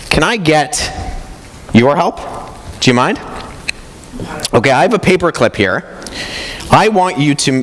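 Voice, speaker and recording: Against noticeable background noise, a man speaks at a moderate pace with lively intonation. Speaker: apologetics speaker. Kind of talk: conference talk.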